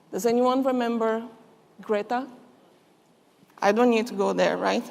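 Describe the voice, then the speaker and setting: A woman's fairly high voice in a Brazilian Portuguese accent, monotone and flat at a moderate pace, with audible room echo. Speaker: chemist and conference speaker. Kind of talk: conference speech. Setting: stage with audience.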